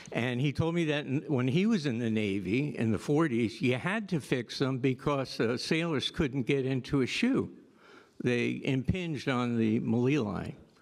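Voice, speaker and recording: This man has a normal speaking voice at medium pitch, talking at a moderate pace with very even loudness on a very clean recording with a silent background. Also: ordinary pitch variation. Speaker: orthopaedic surgeon. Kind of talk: panel discussion.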